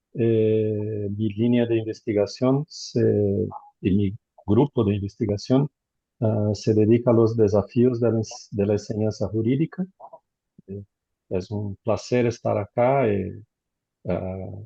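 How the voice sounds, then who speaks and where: Somewhat breathy, with a Portuguese accent, the voice moves at a very slow pace with long, frequent pauses and fairly even intonation. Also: man, fairly low pitch for a man. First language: Portuguese (speaking Spanish). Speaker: law professor. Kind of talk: video call introduction. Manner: halting.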